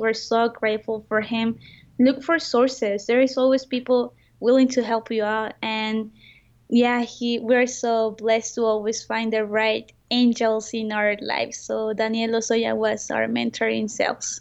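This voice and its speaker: A woman's fairly high voice with a Spanish accent, fairly slow and monotone, the intonation flat. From Mexico. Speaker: entrepreneur. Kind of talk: interview.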